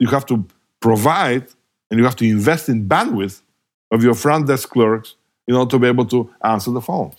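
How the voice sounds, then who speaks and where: On a very clean recording with a silent background, a man with a Bulgarian accent speaks with long, frequent pauses. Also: medium pitch for a man, ordinary pitch variation, moderate pace. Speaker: hospitality technology professor. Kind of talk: interview.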